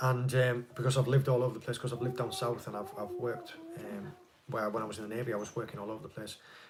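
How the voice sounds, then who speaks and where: Amid noticeable background noise, a man speaks very fast at a medium pitch with fairly even intonation. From northeast England. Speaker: fishing channel host, ex-Navy. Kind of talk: live stream Q&A chat.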